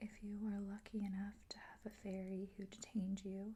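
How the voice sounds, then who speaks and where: Her voice somewhat breathy and dark, mellow in tone, a woman talks at medium pitch and a moderate pace. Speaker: ASMR content creator. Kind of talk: whispered ASMR reading of facts. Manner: whispered, soft, relaxing.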